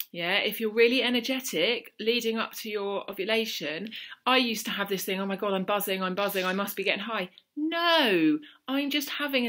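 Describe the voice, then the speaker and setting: In a South London accent, a woman with a fairly high pitch and a bright, sharp tone speaks with lively intonation on a very clean recording with a silent background. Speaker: mental health vlogger. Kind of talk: casual talk to camera.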